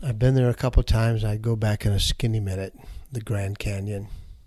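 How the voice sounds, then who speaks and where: In a somewhat breathy, dark, mellow voice of medium pitch, a man with an American accent speaks with monotone, flat intonation. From Michigan. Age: 60s. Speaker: nonprofit CEO. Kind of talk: interview. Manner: conversational.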